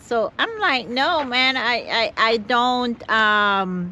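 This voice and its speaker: Lively intonation marks a woman speaking in a Jamaican accent. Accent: Caribbean, Jamaican. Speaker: van-life vlogger. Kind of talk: casual vlog talk to camera. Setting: outdoors, parked car spot near Las Vegas. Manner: halting, repeats words.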